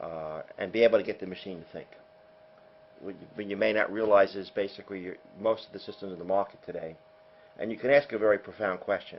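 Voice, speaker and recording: At a very fast pace, a man with an American accent speaks in a fairly low voice with fairly even intonation. His loudness swings widely. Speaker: software company founder, former math teacher. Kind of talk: sales presentation. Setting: hotel luncheon with audience.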